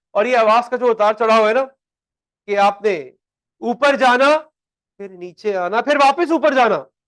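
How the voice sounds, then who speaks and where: Loud and extremely high-pitched, a man speaks with ordinary pitch variation. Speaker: accounting teacher. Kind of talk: lecture. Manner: animated.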